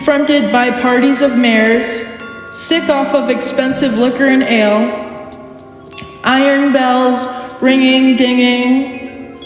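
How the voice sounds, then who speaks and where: A woman speaks very slowly in a high voice, with music playing in the background. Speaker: poet. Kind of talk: poetry reading.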